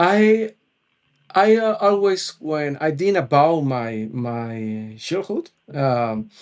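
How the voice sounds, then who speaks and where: Very slowly, a man speaks in a fairly high pitch that swings very widely. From Colombia, Cali. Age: 30s. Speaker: musician and web developer. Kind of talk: podcast interview. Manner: halting, many fillers and repetitions.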